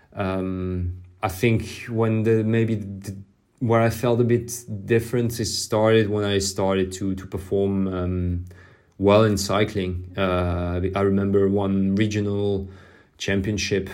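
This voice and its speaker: Monotone, flat delivery from a man with a fairly low pitch, very slow in pace, with audible room echo. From southern France. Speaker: professional cyclist. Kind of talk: interview. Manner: halting, with repetitions.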